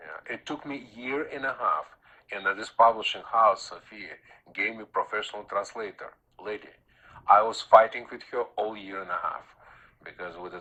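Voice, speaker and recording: A man with a Russian accent at a moderate pace, with big swings in loudness. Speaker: Taoist master and author. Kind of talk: radio interview. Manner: halting, many fillers.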